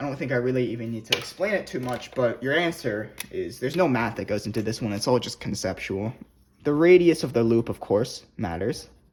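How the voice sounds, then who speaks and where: A man talks in a normal speaking voice at medium pitch. His pace is fairly quick and his intonation lively. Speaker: physics tutor. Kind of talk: tutorial.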